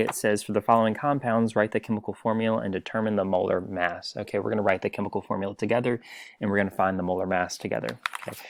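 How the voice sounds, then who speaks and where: A man speaks at a fairly low pitch. His intonation stays fairly even. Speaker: teacher. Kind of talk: tutorial. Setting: recorded video lesson for online class. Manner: fast.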